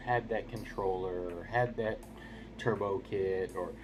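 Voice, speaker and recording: With music in the background, a man speaks quietly at a fairly low pitch and a fairly slow pace. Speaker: gaming YouTuber. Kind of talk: casual video review monologue. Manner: keeping voice down, quiet; rambling with fillers and repeats.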